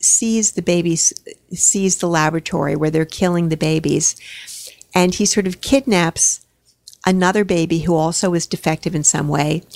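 A woman's fairly low voice, a plain, everyday voice, at a moderate pace with ordinary pitch variation and a dry, close sound with no echo. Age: 60s. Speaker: retired high school drama and English teacher. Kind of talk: casual interview conversation.

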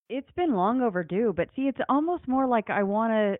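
In a plain, everyday voice, a woman with an American accent talks at a moderate pace with lively intonation. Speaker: podcast host. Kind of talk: casual chat.

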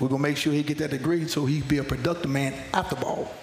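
Fairly quick, fairly high-pitched speech from a man with a Southern US accent, plus noticeable background noise. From North Carolina. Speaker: college football assistant coach. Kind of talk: radio interview.

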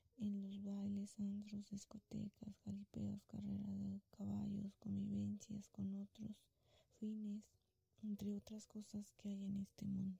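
A woman talks very slowly at a very even loudness, with a dry, close sound and no echo. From Mexico, Guanajuato. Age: 30s. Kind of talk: religious testimony.

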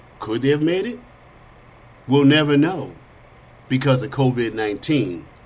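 Speech with an animated tone and lively intonation comes at a fairly slow pace, broken by long, frequent pauses, with audible room echo. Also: man, fairly high pitch for a man. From Chicago, south side. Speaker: podcast host. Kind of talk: political talk show monologue.

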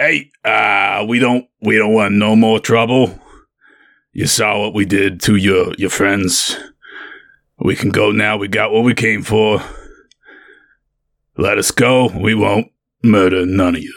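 A put-on character voice, raspy and fairly slow, with fairly even intonation and long, frequent pauses. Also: man, fairly low pitch for a man. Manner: menacing, gruff.

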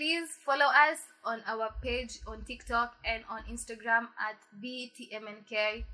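The speech goes at a very slow pace, with big swings in loudness. Intonation stays fairly even. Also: woman, fairly high pitch for a woman. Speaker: podcast co-host. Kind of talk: casual chat.

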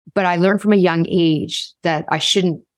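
A woman with a Canadian accent has a plain, everyday voice, pitched fairly low with fairly even intonation. The recording is very clean, with a silent background. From Canada, Toronto. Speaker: leadership speaker and author. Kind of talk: interview conversation.

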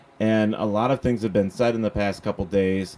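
With a plain, everyday voice, a man speaks at a moderate pace and fairly even intonation. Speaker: show host. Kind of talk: casual chat.

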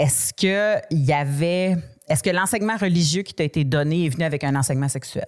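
A woman with a fairly low voice and an ordinary speaking voice. She talks at a fairly quick pace. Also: ordinary pitch variation. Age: 40s. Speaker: podcast host. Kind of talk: casual chat.

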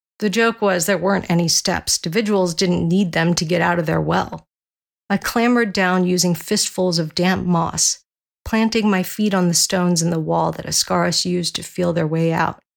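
Fairly even intonation and a moderate pace mark an ordinary speaking voice. The recording is very clean, and the background is silent. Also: woman, fairly low pitch for a woman. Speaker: audiobook narrator. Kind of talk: scripted narration; dramatic first-person narration. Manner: formal.

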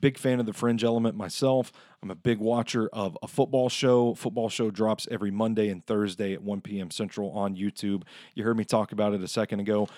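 Fairly low in pitch, a man with a plain, everyday voice talks at a fairly quick pace with fairly even intonation in a very clean recording with a silent background. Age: 30s. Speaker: podcast host. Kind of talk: casual chat.

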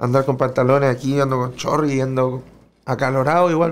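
A man talks at a moderate pace. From Chile. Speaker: freestyle rapper. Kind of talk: casual chat.

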